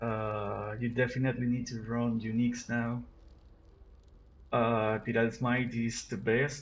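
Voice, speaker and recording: Medium-pitched male speech with a Spanish accent, music playing in the background. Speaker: gaming youtuber. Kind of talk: unscripted gameplay commentary. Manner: halting, many repetitions and fillers. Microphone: recorded with cell phone.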